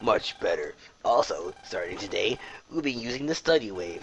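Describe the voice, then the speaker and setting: At a moderate pace, a put-on character voice delivers the lines. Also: man. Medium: game stream. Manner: strict, curt.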